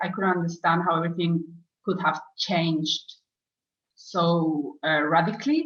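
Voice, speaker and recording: Somewhat breathy, a woman's voice sits at a fairly low pitch. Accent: Spanish. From Spain. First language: Spanish. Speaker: former client, program graduate. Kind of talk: interview testimony. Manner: slow, searching for words; hesitant, many fillers.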